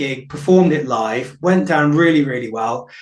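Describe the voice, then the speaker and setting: Somewhat breathy and fairly high in pitch, a man speaks at a fairly quick pace with audible room echo. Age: 50s. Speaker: folk musician, singer-songwriter. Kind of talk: radio interview. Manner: hesitant, many fillers.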